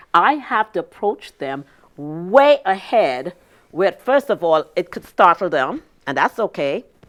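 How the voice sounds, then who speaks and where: In a dry, close sound with no echo, a woman speaks fairly slowly at a medium pitch with very wide pitch swings. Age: 60s. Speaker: business consultant. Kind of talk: interview.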